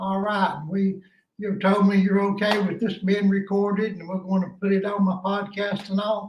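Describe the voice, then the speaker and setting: A man with a Southern US accent and a high pitch, monotone and flat in intonation, at a moderate pace. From East Tennessee. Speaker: podcast host. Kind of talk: phone interview.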